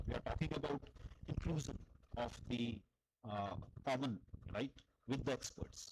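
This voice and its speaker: Somewhat breathy and at a medium pitch, a man talks at a moderate pace with ordinary pitch variation, very even loudness and long, frequent pauses. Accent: Indian. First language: Hindi. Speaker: philosophy lecturer. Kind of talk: academic Q&A discussion.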